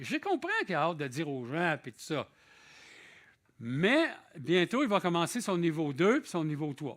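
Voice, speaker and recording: A man with a Quebec accent, high for a man, at a fairly slow pace on a very clean recording with a silent background. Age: 60s. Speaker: visiting preacher. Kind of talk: sermon. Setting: church. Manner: conversational.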